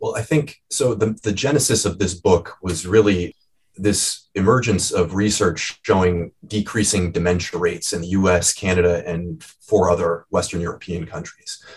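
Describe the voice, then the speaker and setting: A man with an American accent talks at a moderate pace. His somewhat breathy voice is very deep and low, with ordinary pitch variation. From US Midwest, Cleveland, Ohio. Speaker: medical anthropologist and author. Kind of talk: interview.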